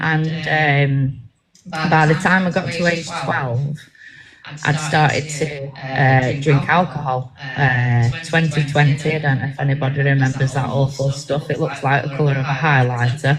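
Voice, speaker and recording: A woman's very deep, low voice, monotone and flat, at a fairly slow pace over music in the background. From Manchester, England (born in Bangor, Wales). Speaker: ministry team member giving testimony. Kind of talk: testimony. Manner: halting, many fillers.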